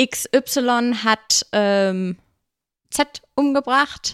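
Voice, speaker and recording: Ordinary pitch variation is heard on a very clean recording with a silent background and a dry, close sound with no echo. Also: woman. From Germany, Bad Honnef near Bonn (raised partly in Munich). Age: 20s. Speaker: bridal shop owner. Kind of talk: casual interview. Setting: hotel.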